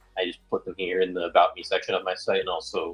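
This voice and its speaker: Music plays behind a man. He talks at a very fast pace. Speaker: live streamer. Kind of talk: casual chat. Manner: halting.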